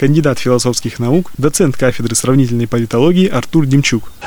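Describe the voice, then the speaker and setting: Talking very fast, a man speaks at a medium pitch. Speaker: radio news presenter. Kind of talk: news reading.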